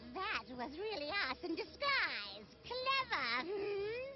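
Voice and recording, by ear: A cartoonish character voice, female-sounding and extremely high-pitched with very wide pitch swings, at a very slow pace over loud background noise.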